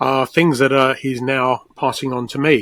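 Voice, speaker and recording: A man's plain, everyday voice, fairly high-pitched, at a moderate pace, with a dry, close sound and no echo. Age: 60s. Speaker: assistive technology expert. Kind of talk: interview.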